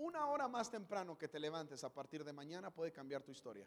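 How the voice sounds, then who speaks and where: Animated in tone, a man speaks at a fairly quick pace. His pitch is fairly high. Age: 30s. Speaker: pastor. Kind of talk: sermon. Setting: church stage with audience.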